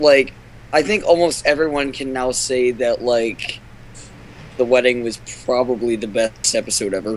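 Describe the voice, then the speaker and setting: Spoken at a moderate pace with ordinary pitch variation, the voice comes through over noticeable background noise. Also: man. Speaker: podcast panelist. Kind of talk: casual chat. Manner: animated.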